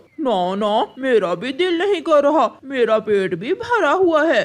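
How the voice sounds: This cartoonish character voice sits high in pitch, swings very widely up and down, and moves at a moderate pace.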